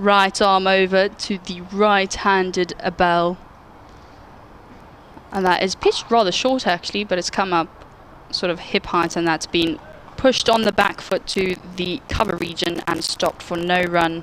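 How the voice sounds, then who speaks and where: Someone with a South African accent speaks at a moderate pace, with long, frequent pauses. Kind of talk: sports commentary.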